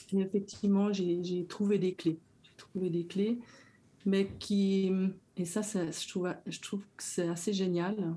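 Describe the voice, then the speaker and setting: A woman's medium-pitched, somewhat breathy voice with a dark, mellow tone, flat monotone intonation and a very slow pace. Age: 60s. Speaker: educator. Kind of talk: personal testimony.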